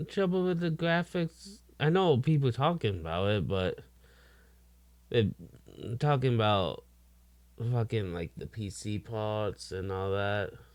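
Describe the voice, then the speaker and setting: Over a silent background in a very clean recording, a man talks at a fairly slow pace with very wide pitch swings. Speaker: gaming reaction streamer. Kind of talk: reaction commentary. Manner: self-described slow talker; halting.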